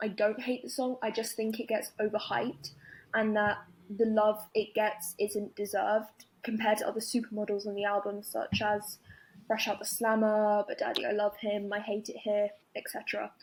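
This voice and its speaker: A woman's fairly high, somewhat breathy voice with a London accent and monotone, flat intonation. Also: moderate pace. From London, England. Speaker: caller. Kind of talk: voicemail opinion message.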